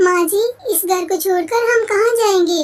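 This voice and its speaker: A woman does a squeaky, cartoonish character voice at an extremely high pitch and a moderate pace. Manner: soft, respectful.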